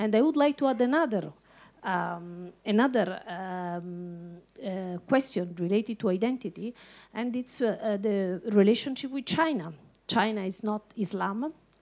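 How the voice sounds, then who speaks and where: A woman speaks fairly slowly in an Italian accent at a medium pitch. The background is quiet. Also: lively intonation. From Italy. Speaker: journalist. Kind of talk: panel discussion.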